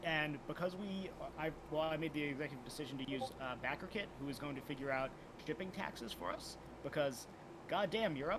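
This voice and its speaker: Ordinary pitch variation and a fairly quick pace come through over noticeable background noise. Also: man, fairly high pitch for a man. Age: 60s. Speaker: indie game designer. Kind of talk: casual interview.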